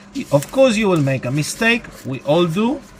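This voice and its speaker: A man's pitch swings very widely as noticeable background noise runs underneath. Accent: non-native. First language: not English. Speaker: electronics repair hobbyist. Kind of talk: tutorial.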